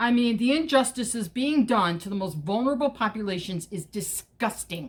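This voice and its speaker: Somewhat breathy and fairly high-pitched, a woman talks at a fairly slow pace with lively intonation and an American accent. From Chicago, US Midwest. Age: 60s. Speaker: political activist vlogger. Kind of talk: casual monologue vlog. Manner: hesitant, many fillers.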